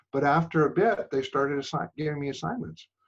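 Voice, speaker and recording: Somewhat breathy man with an American accent at a moderate pace. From New York City. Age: 70s. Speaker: photographer. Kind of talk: interview. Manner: halting, many fillers.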